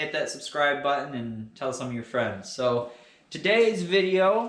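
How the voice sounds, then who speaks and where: Speaking with an American accent at a fairly slow pace, a man with a fairly high pitch makes very wide pitch swings amid noticeable background noise and audible room echo. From Western Michigan. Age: 20s. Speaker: welder and equipment reviewer. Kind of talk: tutorial. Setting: workshop. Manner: casual, hesitant with fillers.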